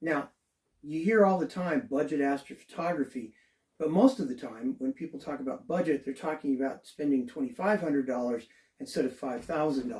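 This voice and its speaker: Speaking at a fairly quick pace, this man has a fairly high pitch, ordinary pitch variation and an ordinary speaking voice. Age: 60s. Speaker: amateur astronomer. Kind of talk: tutorial. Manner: casual, conversational.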